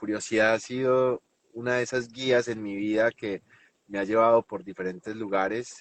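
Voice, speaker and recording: A man with a Colombian paisa accent and fairly even intonation. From Colombia, Medellín. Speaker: NLP trainer and hypnotherapist. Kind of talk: interview.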